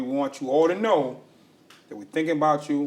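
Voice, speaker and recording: Over noticeable background noise, a man with fairly high pitch speaks at a moderate pace. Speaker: podcast host. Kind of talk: podcast intro.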